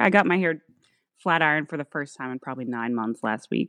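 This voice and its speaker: Against a quiet background, a woman with an American accent comes through with a dry, close sound and no echo. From US South (Georgia). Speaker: physical therapist and former beauty queen. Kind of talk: casual interview chat.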